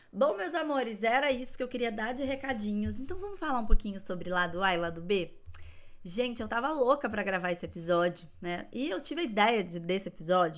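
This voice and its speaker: A woman talks at a fairly quick pace with lively intonation in a plain, everyday voice. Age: 40s. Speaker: psychologist podcast host. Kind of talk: solo podcast monologue. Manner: warm, casual.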